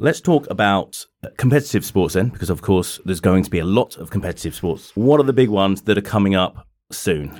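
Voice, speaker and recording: In a normal speaking voice, a man talks at a fairly quick pace with a fairly low pitch and lively intonation, on a very clean recording with a silent background. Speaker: podcast host. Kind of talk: casual interview. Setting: studio.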